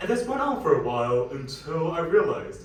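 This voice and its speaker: A man speaks with an American accent. The room echo is audible and background noise is noticeable. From Westchester, New York (born Shanghai). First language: Mandarin. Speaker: student speaker. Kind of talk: personal talk on stage.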